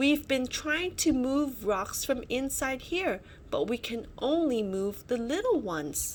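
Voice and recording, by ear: In a put-on character voice, a woman speaks slowly at a high pitch with big pitch swings.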